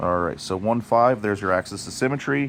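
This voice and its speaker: This man has a normal speaking voice pitched fairly low. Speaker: math teacher. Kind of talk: tutorial.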